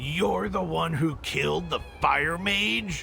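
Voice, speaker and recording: Clear background noise runs behind a man doing a put-on character voice. He keeps a medium pitch and a very slow pace. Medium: video game. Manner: sneering, confrontational.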